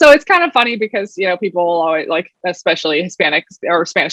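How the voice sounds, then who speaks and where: With an American accent, a woman talks very fast in a bright, sharp tone and lively intonation, the sound dry and close with no echo. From Oregon, US. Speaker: product executive. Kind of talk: panel discussion.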